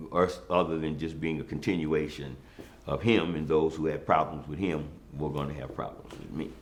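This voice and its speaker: Through audible room echo, a man with a very deep, low pitch and vocal fry talks at a fairly quick pace with fairly even intonation. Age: 60s. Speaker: former city councilman. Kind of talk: interview. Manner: hesitant with many fillers.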